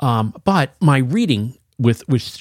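A man's somewhat breathy, medium-pitched voice with very wide pitch swings, dry and close with no echo, in a very clean recording with a silent background. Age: 60s. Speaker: longtime comic shop regular. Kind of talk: casual chat. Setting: studio. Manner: animated.

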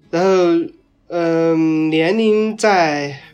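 A man's voice with ordinary pitch variation. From Bazhong, Sichuan, China. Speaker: interviewee sharing their dialect. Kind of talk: interview.

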